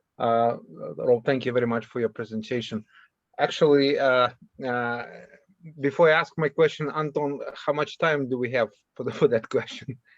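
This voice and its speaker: In a Russian accent, a man at medium pitch speaks at a moderate pace with fairly even intonation and long, frequent pauses, over a quiet background. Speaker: workshop participant asking a question. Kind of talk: academic Q&A discussion. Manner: halting.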